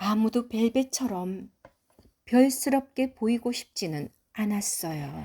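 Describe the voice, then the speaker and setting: Her intonation is lively while she speaks very slowly. The woman's tone is dark and mellow, somewhat breathy. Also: fairly high pitch for a woman. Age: old. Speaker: grandmother reading a picture book to her granddaughter. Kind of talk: children's storybook reading.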